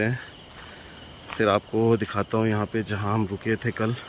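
A man speaks at a moderate pace with a fairly low pitch, and faint noise sits in the background.

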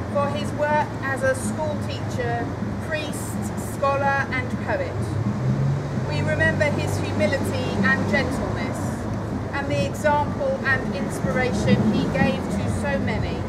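A man speaks fairly slowly while loud noise fills the background. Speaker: clergy leading prayer. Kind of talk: church prayer. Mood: solemn, gentle. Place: street. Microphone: camera far.

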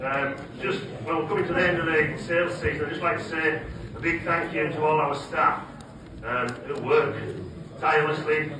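Heard at a moderate pace, the speech comes with noticeable background noise and audible room echo. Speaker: auction mart official giving thanks. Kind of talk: ceremonial speech with thank yous. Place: hall.

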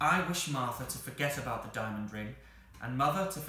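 Natural voice reading text

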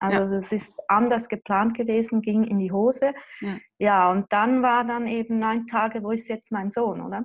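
A woman's fairly high voice in a monotone, flat intonation at a moderate pace, over a quiet background. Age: 40s. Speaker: mother affected by child removal. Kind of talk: interview. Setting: video call. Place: home room. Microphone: video call.

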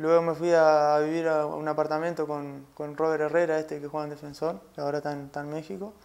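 Barely stopping, a man rattles along at a very fast pace with hardly any pauses. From Uruguay (Salto); Uruguay. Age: 20s. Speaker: footballer; interviewee. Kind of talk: interview. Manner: halting. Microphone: lapel.

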